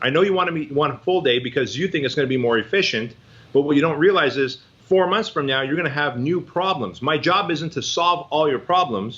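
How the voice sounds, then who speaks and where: A man with an American accent speaks in a plain, everyday voice, fairly high-pitched for a man, with lively intonation at a fairly quick pace. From Armenia, moved to US at age six. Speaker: fitness business coach. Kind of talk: podcast interview. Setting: office with library.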